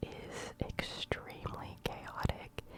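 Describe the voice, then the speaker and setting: A woman is whispering. There is noticeable background noise. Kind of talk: ASMR cooking video, casual talk to camera. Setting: binaural microphone, close ear-to-ear recording. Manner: whispered, soft-spoken.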